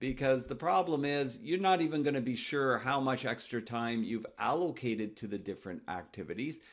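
At a moderate pace, a man talks with lively intonation and a medium pitch.

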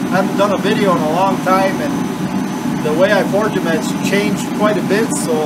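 A man's voice with ordinary pitch variation over loud background noise. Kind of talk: tutorial. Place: workshop. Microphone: camera far.

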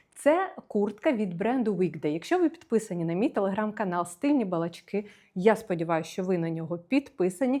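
Against a quiet background, a woman with a fairly high pitch talks at a fairly quick pace, her pitch swinging very widely. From Ukraine, Kyiv. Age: 30s. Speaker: fashion stylist and video blogger. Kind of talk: casual try-on haul video.

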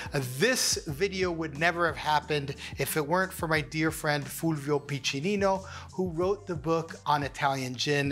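A man at a moderate pace, faint music in the background. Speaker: cocktail show host. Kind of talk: tutorial. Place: studio. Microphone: lapel.

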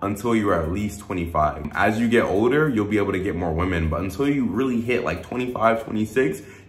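With faint music in the background and audible room echo, a man speaks at a moderate pace with ordinary pitch variation and hardly any pauses. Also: fairly low pitch for a man. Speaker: dating advice vlogger. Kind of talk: casual vlog chat. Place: home room.

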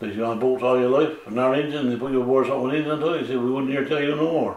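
A man speaks at a very fast pace with fairly even intonation and a medium pitch. Noticeable background noise runs underneath. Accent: Newfoundland. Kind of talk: oral history interview answer.

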